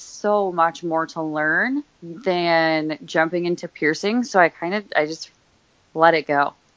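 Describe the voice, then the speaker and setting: A woman has a plain, everyday voice, fairly low in pitch with ordinary pitch variation. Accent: American. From Pennsylvania, Scranton. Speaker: body piercing studio manager. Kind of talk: casual interview. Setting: phone call.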